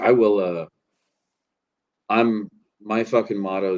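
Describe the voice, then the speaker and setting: A man speaks, and his intonation remains fairly even. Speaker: live streamer. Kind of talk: casual chat. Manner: slurring.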